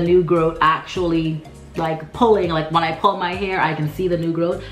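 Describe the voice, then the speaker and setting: Music plays in the background. A woman speaks in a fairly low pitch. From Turks and Caicos Islands. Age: 20s. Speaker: natural hair YouTuber. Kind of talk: casual talk to camera.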